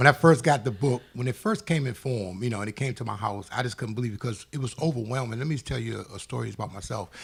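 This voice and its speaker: Using vocal fry at a medium pitch, a man rushes along at a very fast pace with hardly any pauses and ordinary pitch variation. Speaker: author. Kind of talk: interview.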